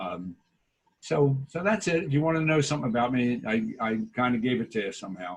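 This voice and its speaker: Here a man speaks in a Philadelphia accent at a fairly quick pace. His pitch is medium, with very wide pitch swings. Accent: Philadelphia-area. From US Northeast, Delaware County, Pennsylvania. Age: 60s. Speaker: local business owner and community volunteer. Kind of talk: video call interview.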